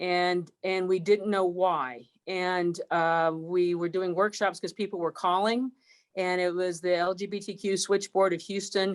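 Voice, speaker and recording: At a fairly slow pace, a woman speaks in a normal speaking voice with a medium pitch and fairly even intonation. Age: 60s. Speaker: university chancellor. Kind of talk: panel discussion. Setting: recorded broadcast.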